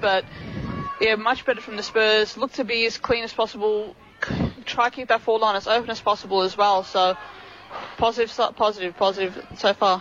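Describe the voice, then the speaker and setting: A man with an Australian accent talks at a fairly quick pace in a high pitch, his intonation monotone and flat, over noticeable background noise. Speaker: co-commentator. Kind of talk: casual match analysis.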